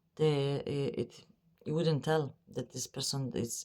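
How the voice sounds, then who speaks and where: A woman with a non-native accent speaks at a very deep, low pitch with fairly even intonation. The recording is very clean with a silent background. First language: not English. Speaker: psychic medium. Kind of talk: spiritual channeling monologue. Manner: halting, many fillers.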